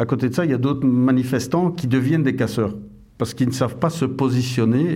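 A man with a dark, mellow tone speaks at a very fast pace in a room with audible echo. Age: 50s. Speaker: police officer. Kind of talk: interview.

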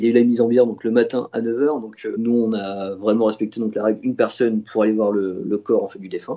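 This man rattles along at a very fast pace, his medium pitch held in fairly even intonation. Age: 20s. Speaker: toy store salesman. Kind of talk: personal testimony. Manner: hesitant with fillers.

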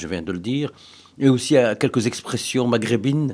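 A man's medium-pitched voice, fairly slow in pace, with lively intonation. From Brussels, Moroccan family. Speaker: interviewee. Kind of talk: interview testimony. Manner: halting, repetitive.

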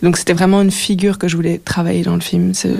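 A woman is speaking. Noticeable background noise sits behind her. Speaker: filmmaker and sound artist. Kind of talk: radio interview. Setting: radio studio. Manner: hesitant, many fillers.

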